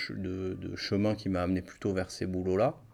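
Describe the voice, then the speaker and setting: A man speaks in a very deep, low voice. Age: 30s. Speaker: psychologist. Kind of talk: interview. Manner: hesitant, filler-heavy.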